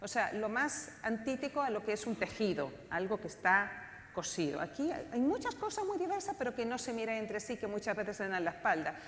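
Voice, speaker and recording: A woman talks at a fairly quick pace with a non-native accent, her fairly high pitch making very wide swings. Noticeable background noise runs underneath. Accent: foreign (non-Chilean) Spanish. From outside Chile (Spanish-speaking country). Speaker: political scientist, panel speaker. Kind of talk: conference talk.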